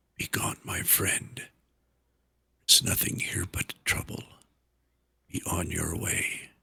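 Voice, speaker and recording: In a quiet, raspy put-on character voice, fairly low in pitch, a man speaks with long, frequent pauses. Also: fairly slow pace. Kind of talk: archaic, coaxing. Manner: hushed, gentle.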